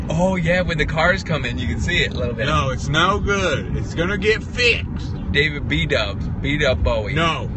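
A man at a moderate pace with hardly any pauses, dry sound with no echo, and noticeable background noise. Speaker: livestreamer. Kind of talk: casual livestream chat. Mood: playful, laughing. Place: car. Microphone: phone near.

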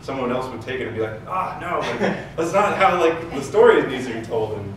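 Speaking at a very fast pace, a man is heard through audible room echo and noticeable background noise. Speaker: guest. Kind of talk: panel discussion answer. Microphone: camera far.

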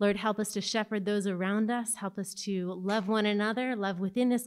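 At a moderate pace, a woman speaks over a quiet background. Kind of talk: announcements and spoken prayer. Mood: calm, reverent. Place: church.

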